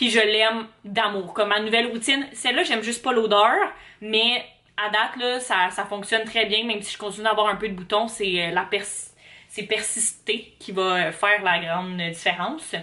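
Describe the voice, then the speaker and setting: A woman speaks with a Quebec accent. Her pitch is fairly high. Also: ordinary pitch variation, moderate pace. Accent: Québécois French. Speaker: vlogger, university student. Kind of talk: casual vlog talk to camera. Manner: hesitant, many fillers.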